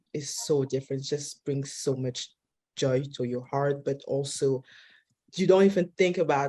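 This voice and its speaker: With a non-native accent, a woman speaks in a dark, mellow tone with ordinary pitch variation. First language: not English. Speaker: film director. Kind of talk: panel discussion. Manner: halting.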